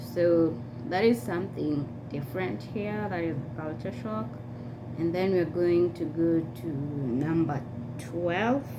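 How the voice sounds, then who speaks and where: Soft-spoken and very deep in pitch, a woman talks at a very slow pace with lively intonation, amid audible room echo and noticeable background noise. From Kenya. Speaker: vlogger. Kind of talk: casual vlog monologue. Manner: soft-spoken by US standards.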